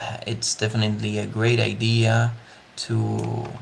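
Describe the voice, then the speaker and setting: Speech in a Spanish accent over noticeable background noise. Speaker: digital 3D artist. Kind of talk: live art tutorial / creative walkthrough. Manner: hesitant, many fillers.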